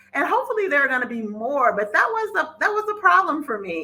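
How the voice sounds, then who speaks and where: Speaking in a Mississippi accent, a woman keeps a moderate pace. Her pitch swings very widely. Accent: Southern US (Mississippi). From Mississippi, US South. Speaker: podcast host and financial educator. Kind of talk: casual podcast monologue.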